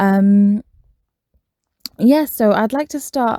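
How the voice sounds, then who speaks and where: In a British accent, a dark, mellow voice is heard with a dry, close sound and no echo. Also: woman. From Britain. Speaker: podcast host. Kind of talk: casual monologue. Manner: hesitant, many fillers.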